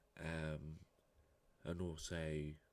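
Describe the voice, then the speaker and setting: Soft-spoken, this man has a very deep, low voice. His intonation is monotone and flat. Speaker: vlogger. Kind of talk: casual vlog talk. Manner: halting.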